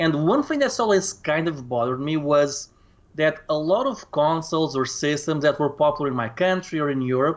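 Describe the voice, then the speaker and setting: A man talks at a fairly quick pace with a Portuguese accent. His voice sits fairly high, with ordinary pitch variation. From Portugal. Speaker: retro gaming YouTuber. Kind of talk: casual conversation interview. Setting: Skype call.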